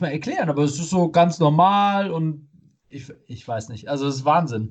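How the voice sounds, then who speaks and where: The speaker uses ordinary pitch variation at a moderate pace. The background is quiet. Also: man. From Germany, not Munich. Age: 30s. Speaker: podcast co-host. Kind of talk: casual chat. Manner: halting, many fillers.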